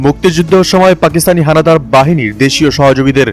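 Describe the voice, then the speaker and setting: Music plays in the background. The speech has ordinary pitch variation. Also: man. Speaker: voice-over artist. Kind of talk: news read.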